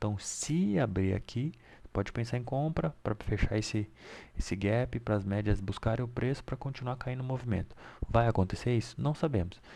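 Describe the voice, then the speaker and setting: On a very clean recording with a silent background, a soft-spoken man with a dark, mellow tone talks at a moderate pace, his medium pitch showing ordinary variation. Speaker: day trading market analyst. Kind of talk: market analysis tutorial. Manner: casual.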